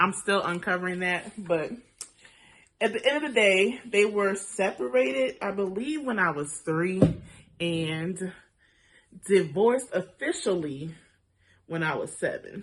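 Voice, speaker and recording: Lively in intonation, a woman with a medium pitch speaks fairly slowly with long, frequent pauses. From US (born Charlotte, North Carolina; childhood partly England). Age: 30s. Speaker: vlogger. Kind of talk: casual personal vlog talk. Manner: casual, conversational with fillers.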